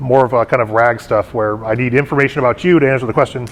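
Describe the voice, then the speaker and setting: A man's medium-pitched voice with fairly even intonation against noticeable background noise. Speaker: tech conference speaker. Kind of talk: technical talk to a meetup audience. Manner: fast; filler-heavy, somewhat jumbled.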